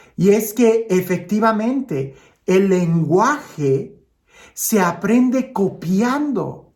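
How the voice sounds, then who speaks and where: Intonation is lively as a man speaks with a high voice. He talks at a very slow pace. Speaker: priest. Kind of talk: gospel reflection. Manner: conversational, with filler hesitations.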